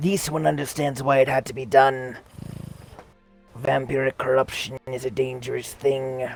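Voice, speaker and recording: A man uses a put-on character voice at a medium pitch. He talks at a moderate pace over faint music in the background. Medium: game stream. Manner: formal, refers to self in third person.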